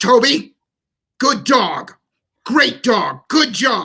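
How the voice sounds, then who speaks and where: The speaker uses a put-on character voice with a fairly high pitch. Every word comes at a very slow pace. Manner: harsh, scolding.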